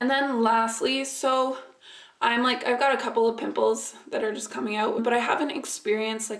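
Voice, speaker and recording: Keeping a moderate pace and fairly even intonation, a woman with a fairly high pitch talks amid noticeable background noise. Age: young. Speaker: beauty vlogger. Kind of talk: casual vlog.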